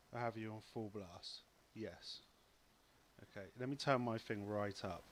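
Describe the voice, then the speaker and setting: A soft-spoken man talks at a fairly slow pace with fairly even intonation. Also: medium pitch for a man. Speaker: LEGO live-stream host. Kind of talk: casual live stream chat.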